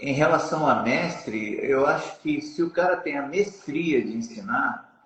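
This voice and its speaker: A man with a fairly high pitch at a very slow pace. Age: 60s. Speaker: jiu-jitsu master. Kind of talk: interview.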